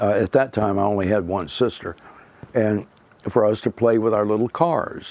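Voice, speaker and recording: The speaker has a Florida accent, ordinary pitch variation and a moderate pace. Noticeable background noise is present. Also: man, fairly low pitch for a man. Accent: Southern US (old Florida). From Florida, Palm Beach County area. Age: 80s+. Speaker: local pioneer family elder. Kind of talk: oral history interview.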